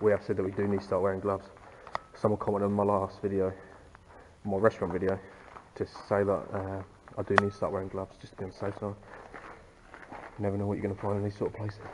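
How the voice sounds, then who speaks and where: Over heavy background noise, a man speaks very quickly. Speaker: urban explorer vlogger. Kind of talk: casual vlog chat. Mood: uneasy, curious. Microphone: phone near.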